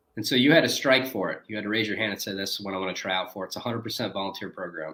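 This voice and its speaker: A man with a northern US accent speaks at a very fast pace. His fairly low voice has ordinary pitch variation. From US Midwest, Detroit, Michigan. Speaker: former Navy SEAL, founder of a performance project. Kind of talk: interview.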